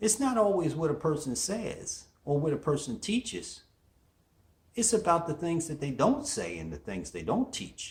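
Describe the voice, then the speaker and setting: Fairly high pitch for a man, with very wide pitch swings, vocal fry and a moderate pace. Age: 60s. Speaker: motivational show host. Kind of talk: motivational monologue.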